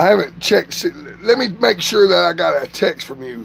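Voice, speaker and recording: Noticeable background noise sits behind a man with a Southern US accent who speaks at a fairly quick pace. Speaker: vlogger doing a livestream. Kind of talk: casual livestream chat.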